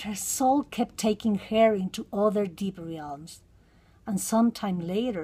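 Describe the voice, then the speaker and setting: In a very clean recording with a silent background, a woman with a Mexican accent speaks at a fairly slow pace, medium in pitch with ordinary pitch variation, in a somewhat breathy voice with a dark, mellow tone. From Mexico. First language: Spanish. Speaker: counseling psychotherapist. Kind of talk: reading aloud.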